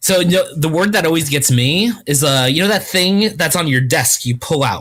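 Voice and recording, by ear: The speaker has a Long Island accent and keeps a moderate pace with hardly any pauses.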